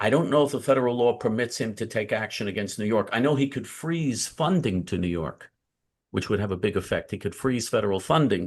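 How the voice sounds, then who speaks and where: A man has an unremarkable speaking voice at a medium pitch, with lively intonation. He talks at a fairly quick pace against a quiet background. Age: 60s. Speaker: community activist. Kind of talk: interview.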